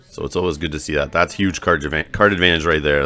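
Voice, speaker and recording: Speaking fairly quickly with vocal fry, a man uses a very deep, low pitch and fairly even intonation. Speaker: gaming video creator, card game player. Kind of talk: match commentary voiceover. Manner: casual, with filler words.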